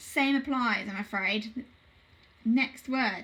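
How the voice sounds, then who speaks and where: The speaker's intonation is fairly even, with noticeable background noise behind it. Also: woman. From southern England, South Coast. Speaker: primary school teacher. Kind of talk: online phonics lesson for children. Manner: clear, encouraging teacher voice.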